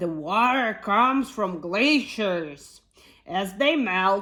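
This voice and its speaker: Using a put-on character voice, a woman speaks at a medium pitch and a very slow pace. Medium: read story.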